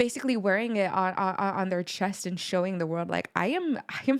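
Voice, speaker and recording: Animated and moderately paced, a woman speaks at a medium pitch with ordinary pitch variation. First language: not English. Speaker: music reaction youtuber. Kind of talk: video reaction commentary.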